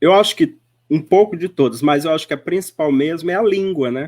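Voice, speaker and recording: On a very clean recording with a silent background, a man with an unremarkable speaking voice and a fairly high pitch uses ordinary pitch variation. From Northeast Brazil. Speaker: spiritist speaker. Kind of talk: radio interview. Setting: web radio.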